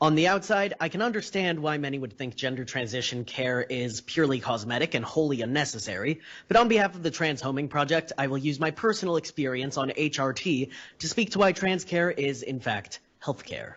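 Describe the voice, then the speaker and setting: A man speaks in a normal speaking voice, fairly high-pitched, with lively intonation. He goes at a fairly quick pace with hardly any pauses. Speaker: public testifier at legislative hearing. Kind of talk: public testimony. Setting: legislative committee hearing.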